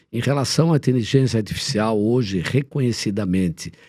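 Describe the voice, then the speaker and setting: A man's dark, mellow tone with lively intonation at a moderate pace, in a very clean recording against a silent background. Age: 70s. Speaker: former sports executive and politician. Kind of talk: interview.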